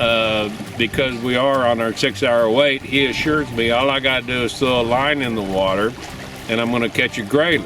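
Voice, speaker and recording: A man with a Texan accent speaks at medium pitch and a moderate pace with fairly even intonation, over noticeable background noise. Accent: Texan American. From Texas. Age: 60s. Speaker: hunter. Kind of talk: casual chat. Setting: outdoors. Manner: halting.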